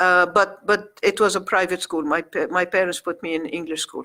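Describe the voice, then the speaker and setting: Her tone comes across bright and sharp. The woman talks at a medium pitch. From Egypt. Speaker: community activist and magazine publisher. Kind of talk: radio interview. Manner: halting.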